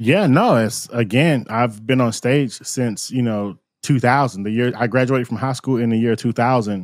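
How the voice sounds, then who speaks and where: On a very clean recording with a silent background, a man with an American accent speaks at a medium pitch and moderate pace, with ordinary pitch variation, hardly any pauses and an unremarkable speaking voice. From Florida, US. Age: 40s. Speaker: musician and live-streaming consultant. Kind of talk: casual interview.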